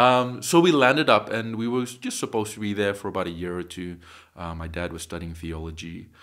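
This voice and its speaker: A man speaks at a fairly quick pace with a fairly low pitch. His intonation is lively, and his loudness swings widely. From Nagaland, India; raised in Australia from age eight. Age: 30s. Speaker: company founder. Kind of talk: interview conversation.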